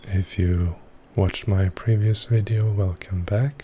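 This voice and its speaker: Soft-spoken and somewhat breathy, a man talks fairly slowly in a fairly low pitch, his tone dark and mellow and his intonation fairly even. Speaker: ASMR creator. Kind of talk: voiceover recorded after filming.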